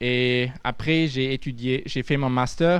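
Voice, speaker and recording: Against a quiet background, a man speaks at medium pitch and a very slow pace. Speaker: futurologist. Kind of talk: audience Q&A answer; lecture. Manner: halting.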